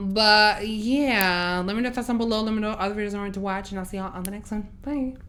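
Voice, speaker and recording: With audible room echo, a woman talks at a very fast pace with hardly any pauses, her fairly high voice bright and sharp and her intonation fairly even. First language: not English. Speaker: reaction youtuber. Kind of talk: casual chat.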